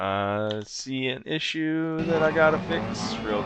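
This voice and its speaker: Music plays in the background as a man with a medium pitch and lively intonation speaks with audible room echo. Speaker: esports race commentator. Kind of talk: live commentary. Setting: online broadcast booth. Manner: halting.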